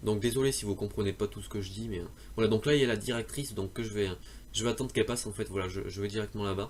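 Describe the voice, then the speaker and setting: Very fast and with fairly even intonation, a man speaks at a fairly low pitch. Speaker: gaming youtuber. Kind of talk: game tutorial. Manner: halting, many fillers and restarts.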